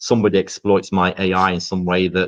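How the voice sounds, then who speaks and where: Moderate-paced speech with an English accent. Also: man. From England. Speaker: podcast co-host. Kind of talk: casual discussion. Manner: halting, many repeated words.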